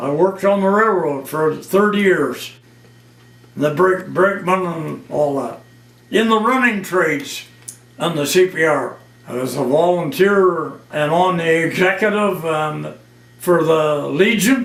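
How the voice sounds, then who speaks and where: Speaking fairly slowly in a high pitch with ordinary pitch variation, a man is heard through noticeable background noise and audible room echo. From northern Ontario, Canada. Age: 80s+. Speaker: retired railway worker and war veteran. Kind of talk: oral history interview.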